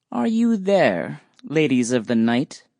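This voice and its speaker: A put-on character voice from a man, fairly slow and pitched in the middle range. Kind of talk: fairy-tale archaic speech. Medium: read story. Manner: plaintive.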